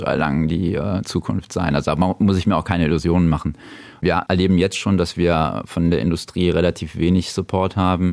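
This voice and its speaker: At a fairly quick pace, a man with a very deep, low voice speaks with fairly even intonation and very even loudness. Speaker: video game shop owner. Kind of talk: casual interview. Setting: in his shop.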